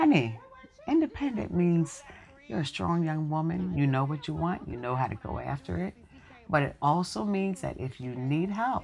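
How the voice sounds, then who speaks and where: A woman speaks at a very deep, low pitch with very wide pitch swings over light background noise. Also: moderate pace. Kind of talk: scripted drama dialogue. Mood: warm, teasing advice. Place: home room.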